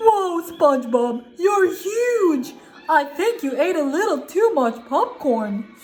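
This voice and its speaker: A woman uses a put-on character voice at a fairly slow pace. Music plays in the background. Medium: read story. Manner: slow, simple, dopey.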